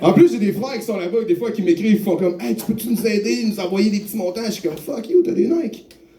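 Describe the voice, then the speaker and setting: A man with a Quebec accent speaks at a very fast pace in a high pitch, with lively intonation and hardly any pauses. Noticeable background noise runs under his voice. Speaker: stand-up comedian. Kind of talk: stand-up. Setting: bar stage with audience.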